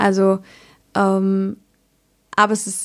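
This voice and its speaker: A woman's voice is heard here. The recording is very clean and the background silent. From Palatinate, southwest Germany. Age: 20s. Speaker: midwife. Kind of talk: expert interview.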